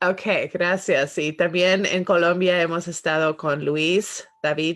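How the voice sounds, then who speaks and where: A woman's fairly low-pitched voice at a very slow pace. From Spanish-speaking country as young child, then United States. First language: English now dominant (Spanish was first as a child) (speaking Spanish). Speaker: podcast host. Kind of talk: interview closing and podcast outro. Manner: halting with many fillers and English words.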